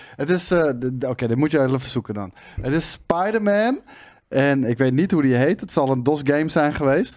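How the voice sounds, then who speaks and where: A man talks at a moderate pace in a normal speaking voice, pitched fairly high. His intonation is lively, and the background is quiet. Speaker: gaming show co-host. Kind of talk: casual chat. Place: studio. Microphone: studio mic.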